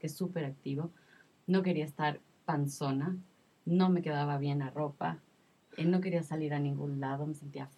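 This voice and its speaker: This woman has a very deep, low voice and fairly even intonation. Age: 30s. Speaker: mother sharing postpartum experience. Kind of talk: testimony.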